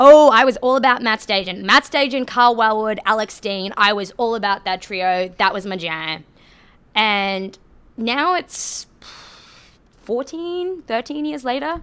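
A woman's fairly high voice with a strong Australian accent and very wide pitch swings, on a very clean recording with a silent background. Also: fairly slow pace. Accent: Australian, thick. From Australia, Queensland (Rockhampton). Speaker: podcast host, hockey. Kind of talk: casual chat, conversational podcast.

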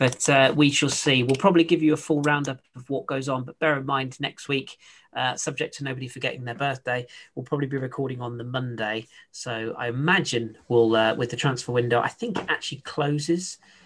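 An unremarkable speaking voice from a man at medium pitch and a fairly quick pace, with fairly even intonation and big swings in loudness. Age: 30s. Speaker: football podcast host. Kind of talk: casual chat.

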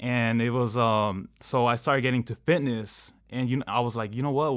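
With an American accent, this unremarkable speaking voice runs on with hardly any pauses and fairly even intonation, captured on a very clean recording against a silent background. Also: man. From Southern California, Anaheim. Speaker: fitness coach and online entrepreneur. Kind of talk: casual interview.

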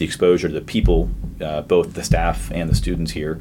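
Fairly quick and with an American accent, a man talks in a very deep, low voice marked by vocal fry. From Boston area, Massachusetts. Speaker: distillery founder. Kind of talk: interview.

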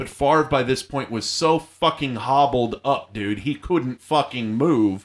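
A man speaks in a plain, everyday voice at a medium pitch with ordinary pitch variation and a fairly slow pace. The recording is very clean, with a silent background. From Arizona, Yuma. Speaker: comedian and soldier. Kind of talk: casual chat.

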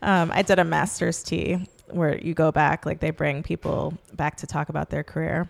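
Recorded very cleanly against a silent background, a woman talks at a moderate pace. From New York City, Manhattan. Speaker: choreographer. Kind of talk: interview conversation.

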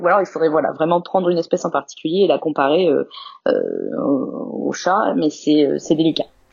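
This woman speaks at a moderate pace. Her pitch is fairly low. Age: 30s. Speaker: zoo veterinarian. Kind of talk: interview. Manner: halting, many hesitations.

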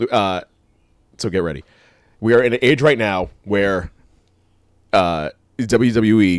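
A man speaks in a fairly low pitch. His pitch varies in an ordinary way. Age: 40s. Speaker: wrestling podcast co-host. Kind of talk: casual chat.

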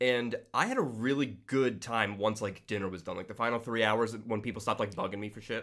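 Speaking with an American accent, a man uses an ordinary speaking voice at a medium pitch. He talks at a fairly quick pace with fairly even intonation and hardly any pauses. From New York State. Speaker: podcast listener and mashup creator. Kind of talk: casual chat.

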